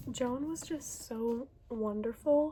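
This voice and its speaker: Noticeable background noise behind a voice of ordinary pitch variation. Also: woman. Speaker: book reviewer. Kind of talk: casual vlog monologue. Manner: animated.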